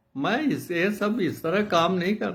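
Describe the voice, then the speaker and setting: A man is speaking. There is audible room echo. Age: 80s+. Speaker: retired geography professor and author. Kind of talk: casual talk to viewers.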